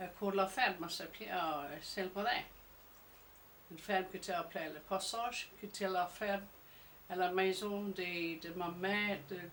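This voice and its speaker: Pausing long and often, a woman speaks at a fairly slow pace with fairly even intonation. Noticeable background noise can be heard. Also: medium pitch for a woman. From Jersey. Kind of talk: interview answer.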